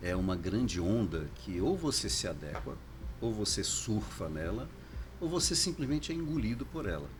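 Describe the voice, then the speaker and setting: Very wide pitch swings from a man at a moderate pace, with audible room echo. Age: 60s. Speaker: foundation director. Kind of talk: casual interview.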